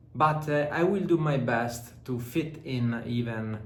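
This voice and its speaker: With an Italian accent, a man speaks at a very slow pace and medium pitch, using ordinary pitch variation amid audible room echo. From Southern Italy. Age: 30s. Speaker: fitness vlogger and entrepreneur. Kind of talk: vlog talk to camera. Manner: hesitant, many filler sounds.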